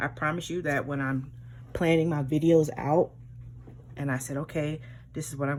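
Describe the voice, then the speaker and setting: A woman speaks with vocal fry at a very deep, low pitch. Her intonation stays fairly even. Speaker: planner hobby YouTuber. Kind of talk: tutorial. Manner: casual, hesitant with fillers.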